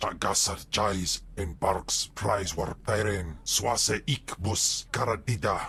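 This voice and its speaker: Over clear background noise, a man puts on a character voice, fairly low in pitch and fairly slow in pace. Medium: video game. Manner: foreign-language alien speech.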